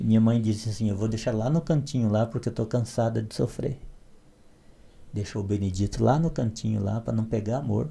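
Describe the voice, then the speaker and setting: Somewhat breathy and dark, mellow in tone, a man talks at a moderate pace with a medium pitch. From Brazilian Northeast, southern Ceará backcountry. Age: 60s. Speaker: literature PhD, evangelical. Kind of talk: podcast interview, life story.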